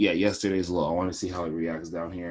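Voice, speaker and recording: Against a quiet background, a man with a very deep, low pitch talks at a very fast pace with fairly even intonation. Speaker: forex trading analyst. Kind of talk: screen-share trading tutorial. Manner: casual, hesitant with fillers.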